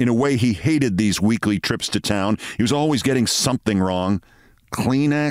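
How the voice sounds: The voice heard here is a natural reading voice.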